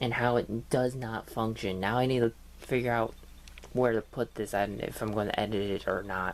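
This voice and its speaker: A man mumbles in a medium pitch. His intonation stays monotone and flat. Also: moderate pace. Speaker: gaming youtuber. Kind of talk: casual vlog rant. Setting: home computer desk. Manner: mumbling.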